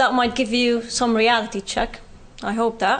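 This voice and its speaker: A woman with a British accent talks in a high pitch. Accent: Palestinian British. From Palestine, West Bank. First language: Arabic. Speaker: speaker sharing personal experience. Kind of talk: public talk.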